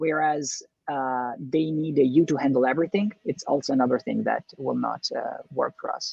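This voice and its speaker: The pace is moderate. Words come in an Italian accent. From Italy. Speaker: entrepreneur, business co-founder. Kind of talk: podcast interview. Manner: halting, many fillers and restarts.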